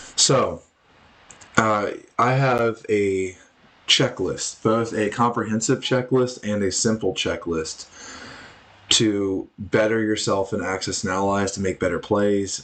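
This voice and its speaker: This man's pitch is fairly low and his intonation fairly even. He leaves long, frequent pauses. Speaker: board game strategy youtuber. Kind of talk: tutorial. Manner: monotone.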